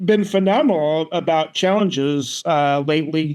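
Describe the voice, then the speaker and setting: Against a quiet background, a man talks with a fairly high pitch and fairly even intonation. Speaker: sports podcast co-host. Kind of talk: casual chat. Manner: halting.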